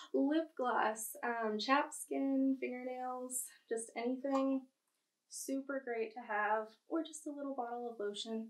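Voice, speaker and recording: A woman talks at a fairly slow pace in a high voice with fairly even intonation. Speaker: travel vlogger. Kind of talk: casual show-and-tell vlog. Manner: chatty, informal.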